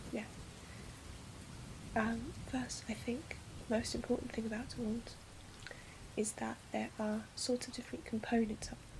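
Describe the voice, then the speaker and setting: A woman at a fairly high pitch, monotone and flat, at a moderate pace with long, frequent pauses and noticeable background noise. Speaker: ASMR roleplayer portraying a wandmaker's daughter. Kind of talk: soft-spoken ASMR roleplay lecture.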